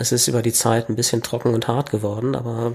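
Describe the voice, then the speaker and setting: Here a man talks in a normal speaking voice at medium pitch. His pace is moderate. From Berlin, Germany. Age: 40s. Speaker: kendo trainer. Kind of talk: casual interview.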